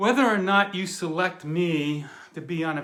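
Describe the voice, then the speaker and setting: This man speaks with an American accent, his pitch high for a man and his tone bright and sharp. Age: 60s. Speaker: retired Marine and intelligence officer, reality show applicant. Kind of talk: casting audition video. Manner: casual, conversational.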